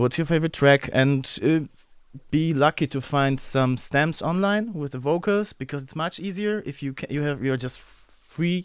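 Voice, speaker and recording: A man's fairly high voice with a German accent, at a moderate pace and with ordinary pitch variation. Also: very clean recording, silent background. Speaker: music producer. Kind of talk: livestream tutorial. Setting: livestream. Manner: halting.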